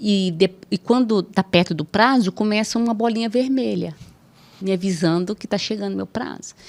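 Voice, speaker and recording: A woman speaks at a moderate pace, and the sound is dry and close with no echo. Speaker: judge. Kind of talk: podcast interview. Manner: assertive.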